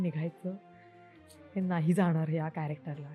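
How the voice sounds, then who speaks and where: A woman's fairly low-pitched voice with music in the background. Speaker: actress. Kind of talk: interview answer.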